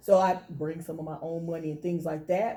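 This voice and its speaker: A woman speaks with a North Carolina accent. Her pitch is fairly low and her intonation fairly even. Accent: Southern US (North Carolina). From Thomasville, North Carolina. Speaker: financial consultant. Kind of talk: interview answer.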